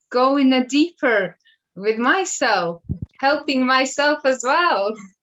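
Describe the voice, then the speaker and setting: With a Latvian accent, a woman speaks very slowly at a high pitch with ordinary pitch variation. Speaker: school worker, interview guest. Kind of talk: interview testimony.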